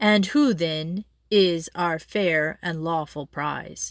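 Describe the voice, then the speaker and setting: A woman performs a booming, put-on character voice at a fairly low pitch and a very slow pace. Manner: malicious, leering, loud.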